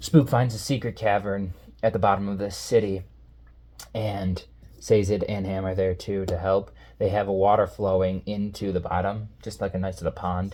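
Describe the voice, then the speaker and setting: A raspy put-on character voice with a low pitch moves at a moderate pace on a very clean recording with a silent background. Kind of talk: comic casual recap. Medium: read story. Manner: fast, jokey, slangy.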